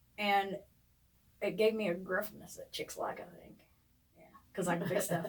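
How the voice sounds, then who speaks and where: A woman with a strong Appalachian accent, medium pitch, monotone, flat intonation, moderate pace, big swings in loudness and long, frequent pauses. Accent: strong Appalachian twang. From eastern Kentucky, Ashland area. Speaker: podcast co-host. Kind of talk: casual chat.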